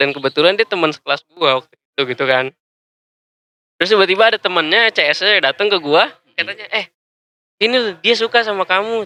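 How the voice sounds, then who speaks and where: A man's high, bright and sharp voice, raised and projected, with lively intonation, a very fast pace, long and frequent pauses, and a dry, close sound with no echo. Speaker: podcast guest. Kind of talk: casual chat.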